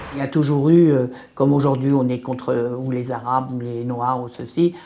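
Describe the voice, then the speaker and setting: A woman with a very deep, low pitch and monotone, flat intonation at a moderate pace, over noticeable background noise. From France, Sevran (Paris suburbs). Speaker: local resident interviewee. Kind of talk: interview testimony.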